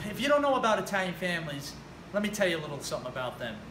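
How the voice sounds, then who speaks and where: With noticeable background noise and audible room echo, a man speaks in a New Jersey accent. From New Jersey, US. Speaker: personal trainer. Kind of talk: personal story monologue. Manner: casual, conversational.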